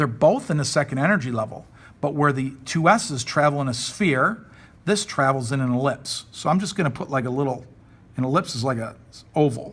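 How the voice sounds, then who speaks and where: A man talks at a fairly quick pace in a fairly high pitch. His pitch variation is ordinary. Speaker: high school chemistry teacher. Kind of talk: recorded classroom lesson. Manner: fast; casual.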